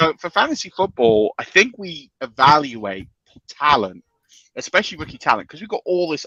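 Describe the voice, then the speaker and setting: A man with a British accent talks at a moderate pace, his fairly high, bright and sharp voice making very wide pitch swings and big swings in loudness. The sound is dry and close with no echo. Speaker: fantasy football analyst. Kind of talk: casual chat. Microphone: lagging connection.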